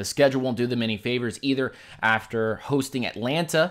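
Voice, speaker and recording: The pitch varies in an ordinary way at a moderate pace. The recording is very clean, with a silent background. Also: man. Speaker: sports livestream host. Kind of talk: live stream commentary. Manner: stumbling, self-correcting.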